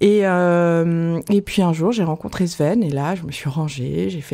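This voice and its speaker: A woman's fairly low voice has a dark, mellow tone and ordinary pitch variation, captured in a very clean recording with a silent background. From Paris. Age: 40s. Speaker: restaurant owner. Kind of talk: interview.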